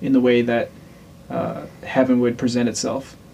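A man speaks at a medium pitch and a moderate pace. Noticeable background noise can be heard. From Louisiana. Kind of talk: casual chat.

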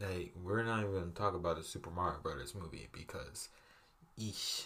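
At a moderate pace, a man speaks with vocal fry. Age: 20s. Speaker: podcast host. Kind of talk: casual solo monologue. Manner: animated, enthusiastic.

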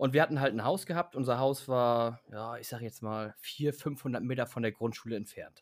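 An ordinary speaking voice at a moderate pace, with hardly any pauses. The pitch varies in an ordinary way. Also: man, medium pitch for a man. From Hamburg, northern Germany. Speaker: podcast co-host. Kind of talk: casual chat.

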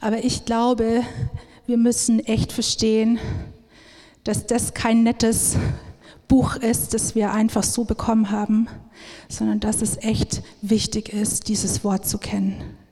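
A woman with a fairly high, somewhat breathy voice speaks at a very slow pace in a monotone, flat intonation, leaving long, frequent pauses. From Upper Palatinate, Bavaria. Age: 30s. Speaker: missionary speaker. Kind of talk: sermon-style talk. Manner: many filler sounds (ähm).

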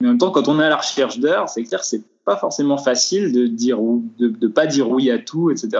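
Very wide pitch swings in a man's fairly high voice, moving at a moderate pace. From France, Vosges. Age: 20s. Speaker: film grip. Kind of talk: interview. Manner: hesitant, many fillers. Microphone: poor sound quality, lockdown recording.

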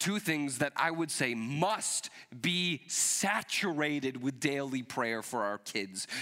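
Speaking very slowly, a man uses a fairly high pitch with lively intonation, a bright, sharp tone and very even loudness. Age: 30s. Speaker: pastor. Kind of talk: sermon.

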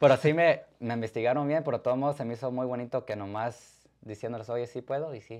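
A man at a medium pitch and fairly quick pace, with hardly any pauses and big swings in loudness. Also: fairly even intonation. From Mexican-American, born in Arizona, Zacatecas roots. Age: 20s. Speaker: DJ and photographer. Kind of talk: interview. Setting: live-streamed studio interview.

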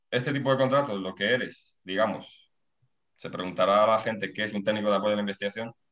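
A man talks very fast with fairly even intonation. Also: fairly low pitch for a man. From Spain, Ávila (Castile and León). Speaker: predoctoral researcher, biologist. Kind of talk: interview. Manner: halting, many repetitions and fillers.

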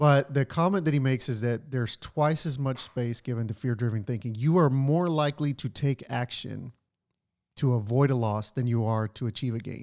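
In a very clean recording with a silent background and a dry, close sound with no echo, a man talks in an ordinary speaking voice at medium pitch, moderate pace and with ordinary pitch variation. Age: 30s. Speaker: podcast host. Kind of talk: casual chat.

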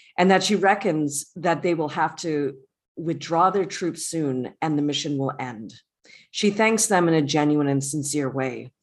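With ordinary pitch variation, the talking unfolds at a fairly slow pace. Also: woman, very deep, low pitch for a woman. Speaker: podcast co-host. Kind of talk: casual recap discussion. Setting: home recording, remote.

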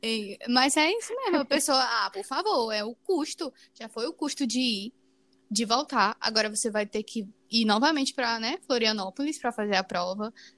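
Woman at a fairly high pitch, lively in intonation, moderate in pace. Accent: Brazilian. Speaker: podcast co-host. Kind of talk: casual chat.

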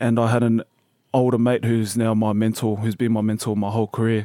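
With an Australian accent, a man talks at a moderate pace and a medium pitch. His tone is dark and mellow. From Brisbane, Australia (born New Zealand). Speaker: professional rugby player. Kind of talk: interview. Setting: studio.

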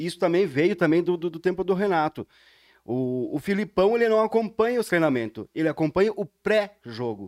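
With lively intonation and a high pitch, a man speaks at a moderate pace, recorded very clean with a silent background and a dry, close sound with no echo. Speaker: podcast co-host. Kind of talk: casual chat.

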